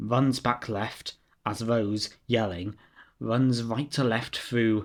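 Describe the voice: Fairly even intonation carries this plain reading aloud.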